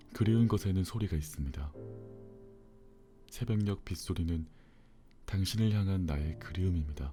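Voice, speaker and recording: Music plays behind a man whose voice is very deep and low. He leaves long, frequent pauses, and his pitch varies in an ordinary way. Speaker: audiobook narrator. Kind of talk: bedtime book reading. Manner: slow, calm.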